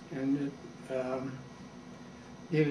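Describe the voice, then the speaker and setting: A man talks in a room with audible echo. Background noise is noticeable. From Canada, Toronto. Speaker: war veteran. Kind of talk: interview. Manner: halting.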